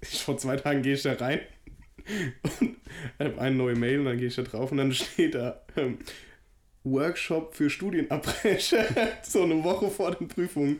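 A man with a fairly high pitch speaks at a moderate pace with lively intonation. He leaves long, frequent pauses. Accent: strong Hessian. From Hesse, near Frankfurt. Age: 20s. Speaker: podcast co-host. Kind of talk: casual chat.

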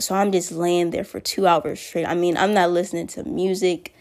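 A woman speaks at a medium pitch with fairly even intonation, in a plain, everyday voice. The recording is very clean, with a silent background. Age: young. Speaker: storyteller vlogger. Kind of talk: story time monologue. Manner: casual and rambling with fillers.

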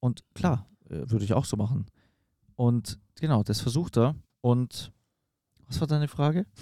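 With long, frequent pauses, a man speaks at a medium pitch in a dark, mellow tone with lively intonation, recorded dry and close with no echo. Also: fairly slow pace. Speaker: evangelist podcast host. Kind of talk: casual chat. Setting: in a caravan.

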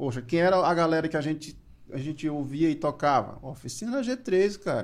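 A fairly high voice belongs to this male speaker. It varies in pitch in a normal way. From Maranhão, Brazil. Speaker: music producer. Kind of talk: casual chat.

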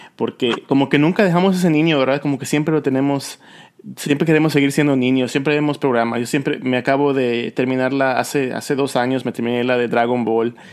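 This man has a plain, everyday voice at a medium pitch. He talks at a fairly quick pace with fairly even intonation. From Yucatán, Mexico. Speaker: podcast host. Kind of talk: casual interview chat.

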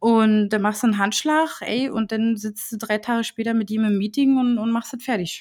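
An unremarkable speaking voice moves at a moderate pace with hardly any pauses and fairly even intonation. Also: woman, fairly high pitch for a woman. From Berlin, Germany. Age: 20s. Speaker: designer and agency owner. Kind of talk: casual interview.

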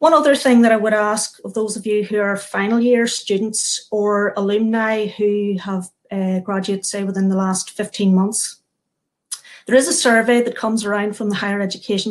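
An ordinary speaking voice from a woman, medium in pitch, at a moderate pace with fairly even intonation. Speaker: event host. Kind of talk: moderated panel event. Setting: video call.

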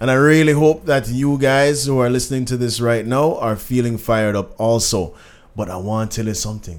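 Speaking at a moderate pace with a Jamaican accent, a man sounds animated at a medium pitch with ordinary pitch variation. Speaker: podcast host. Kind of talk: casual chat.

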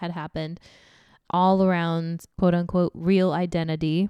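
On a very clean recording with a silent background and a dry, close sound with no echo, a woman speaks fairly slowly at a fairly low pitch in a monotone, flat intonation. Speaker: returning guest. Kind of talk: casual chat.

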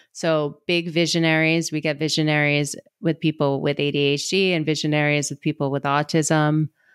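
An American-accented woman speaks with a very deep, low pitch and monotone, flat intonation. Her moderate pace has hardly any pauses, and the sound is dry and close with no echo. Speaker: ADHD coach. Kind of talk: casual interview chat.

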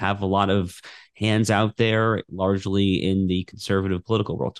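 Speaking at a moderate pace, a man uses a plain, everyday voice with a fairly low pitch. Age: 30s. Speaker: opinion editor and constitutional lawyer. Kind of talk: interview.

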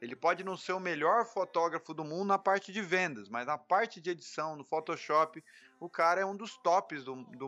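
A man's fairly high-pitched voice with a bright, sharp tone, big swings in loudness, hardly any pauses and a moderate pace against a quiet background. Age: 30s. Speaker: beginning professional photographer. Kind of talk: casual interview chat.

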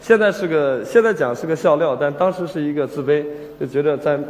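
Noticeable background noise and audible room echo, with ordinary pitch variation. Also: man. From Shandong, China. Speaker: screenwriter. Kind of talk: stage talk. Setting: stage with audience. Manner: hesitant, many fillers.

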